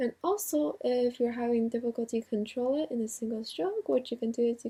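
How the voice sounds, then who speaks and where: A woman's fairly high voice with a dark, mellow tone, ordinary pitch variation, and a fairly quick pace. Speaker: drawing instructor. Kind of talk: drawing tutorial voice-over. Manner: casual, conversational.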